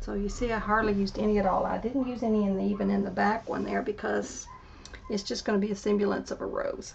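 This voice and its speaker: Noticeable background noise accompanies a woman talking at a very fast pace. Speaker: artist. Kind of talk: tutorial. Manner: quiet at times, voice drops; casual, thinking aloud.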